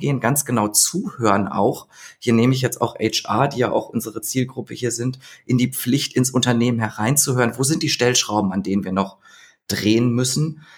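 A man's somewhat breathy, medium-pitched voice at a fairly quick pace with ordinary pitch variation, on a very clean recording with a silent background. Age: 30s. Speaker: labour market expert. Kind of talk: podcast interview.

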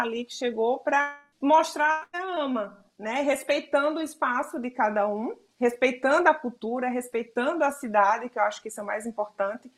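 Speech moves at a moderate pace with hardly any pauses and lively intonation. Music plays in the background. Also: woman. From Brazil, Alagoas (Northeast). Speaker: photographer. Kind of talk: interview.

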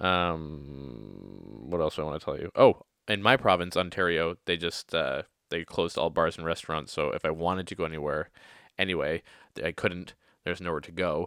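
A man with a very deep, low pitch and vocal fry speaks at a moderate pace with ordinary pitch variation and big swings in loudness. The sound is dry and close with no echo, on a very clean recording with a silent background. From Canada. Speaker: podcast host. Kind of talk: casual solo monologue. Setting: home recording. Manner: humorous, rambling, self-deprecating.

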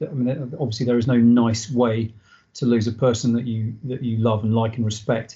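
At a moderate pace, a man speaks with a medium pitch. His voice is somewhat breathy. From southern England, Dorset (army family, moved around). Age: 40s. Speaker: army veteran. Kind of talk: casual interview. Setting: video call.

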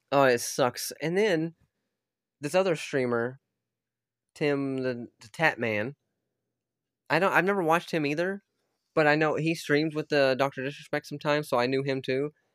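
A man speaks at a moderate pace and fairly high pitch, with ordinary pitch variation. The sound is dry and close with no echo, on a very clean recording with a silent background. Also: long, frequent pauses. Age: 30s. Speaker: podcaster and YouTuber. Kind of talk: casual solo rant. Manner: halting.

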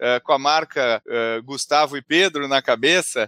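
Dry and close with no echo, a man's voice has a bright, sharp tone. He keeps a moderate pace. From southern Brazil, Porto Alegre. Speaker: entrepreneur and business author. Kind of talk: podcast interview. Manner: halting, many fillers and repetitions.

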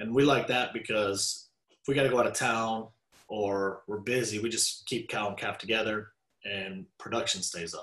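With a Texan accent, a man of medium pitch speaks at a moderate pace and with fairly even intonation. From Texas (Dallas). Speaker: rancher. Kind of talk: casual interview.

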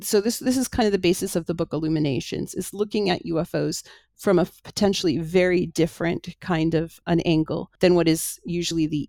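Speaking fairly quickly with a Canadian accent, a woman uses a fairly low pitch, a dark, mellow tone and vocal fry in a dry, close sound with no echo. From Canada, Toronto. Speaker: author and UFO researcher. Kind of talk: interview.

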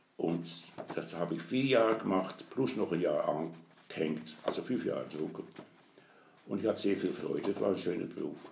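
A man talks at a moderate pace with long, frequent pauses, and audible room echo surrounds his voice. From Netherlands. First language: Dutch (speaking German). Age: 80s+. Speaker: grandfather, retired printer. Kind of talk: interview. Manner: halting.

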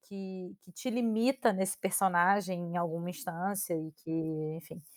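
In a very clean recording with a silent background, a woman speaks at a fairly slow pace with ordinary pitch variation and a dry, close sound with no echo. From Brazil. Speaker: podcast co-host. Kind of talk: casual chat. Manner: halting.

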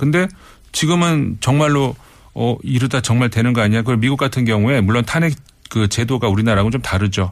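Lively intonation from a man at a very fast pace, in a very clean recording with a silent background. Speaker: foreign affairs commentator. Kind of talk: radio interview commentary.

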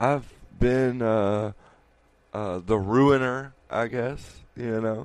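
A playful tone at a very slow pace, with fairly even intonation. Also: man, medium pitch for a man. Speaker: podcast co-host. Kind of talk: casual banter. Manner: joking, playful.

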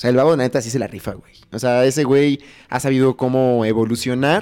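A man's dark, mellow voice at medium pitch, rattling along at a very fast pace. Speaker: podcast co-host. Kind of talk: casual chat. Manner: animated, laughing often.

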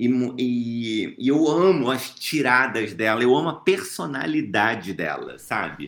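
A man speaks at medium pitch in a Rio de Janeiro accent, at a fairly slow pace with very wide pitch swings. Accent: Carioca Brazilian Portuguese. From Brazil, Rio de Janeiro. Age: 30s. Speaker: author and actor. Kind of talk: interview.

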